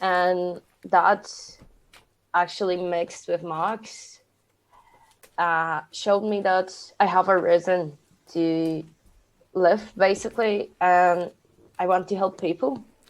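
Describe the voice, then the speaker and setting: Speaking at a very slow pace with long, frequent pauses, a woman with a Polish accent uses a medium pitch and fairly even intonation in a very clean recording with a silent background. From Poland. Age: 20s. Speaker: podcast co-host, aspiring youth worker. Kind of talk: casual chat.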